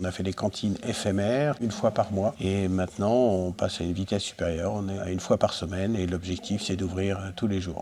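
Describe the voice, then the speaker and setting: Here is an unremarkable speaking voice from a man with a fairly low pitch. He talks at a fairly quick pace. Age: 60s. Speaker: retired volunteer. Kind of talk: interview testimony.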